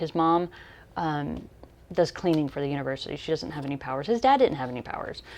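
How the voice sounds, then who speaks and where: The woman's pitch sits very deep and low. She talks at a very fast pace. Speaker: book reviewer. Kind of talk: casual book review talk to camera.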